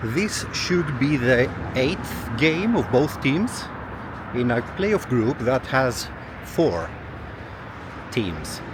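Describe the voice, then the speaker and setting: Amid audible room echo and noticeable background noise, a man speaks at a very slow pace, his medium pitch making very wide swings. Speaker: travel vlogger. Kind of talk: walking travel vlog. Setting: outdoors. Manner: soft-spoken.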